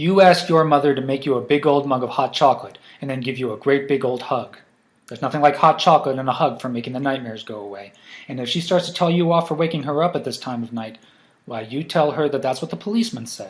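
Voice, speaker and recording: A man speaks in a gruff, put-on character voice at a very fast pace, pitched fairly high. His loudness swings widely. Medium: read story. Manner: patronizing, jovial.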